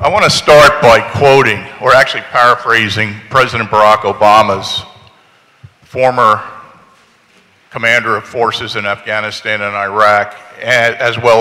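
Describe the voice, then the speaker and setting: In a plain, everyday voice, a man speaks at a fairly low pitch and a moderate pace with fairly even intonation. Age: 60s. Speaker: retired military veteran. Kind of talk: public comment testimony.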